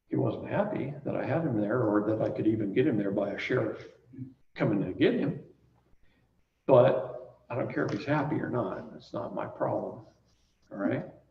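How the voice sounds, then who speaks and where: A man talks at a moderate pace, and room echo can be heard around his voice. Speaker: seminar teacher. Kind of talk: seminar lecture with storytelling.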